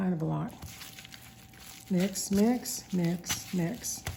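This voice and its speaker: A woman's medium-pitched voice comes through with noticeable noise in the background. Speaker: cooking channel host. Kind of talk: cooking tutorial.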